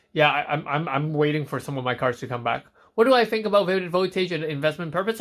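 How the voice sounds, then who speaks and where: Against a silent background in a very clean recording, a man with a fairly high pitch speaks with lively intonation. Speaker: trading card collector and streamer. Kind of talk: casual live stream chat. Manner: fast.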